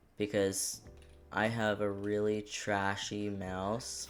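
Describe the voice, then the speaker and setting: Music plays in the background beneath fairly even intonation. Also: man. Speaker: gaming streamer. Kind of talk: casual gameplay commentary. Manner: quiet.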